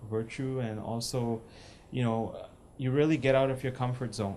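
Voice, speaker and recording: A dark, mellow tone carries fairly even intonation, with room echo audible. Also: man. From India. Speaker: seminarian. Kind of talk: testimony. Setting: group discussion with audience. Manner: halting, many fillers.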